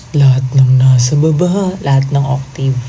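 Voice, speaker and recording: Her voice is very deep and low in pitch, with fairly even intonation. Noticeable background noise and audible room echo surround this woman. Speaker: P-pop group singer. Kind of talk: livestream chat reading comments. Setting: TikTok livestream. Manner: casual, chatty with code-switching.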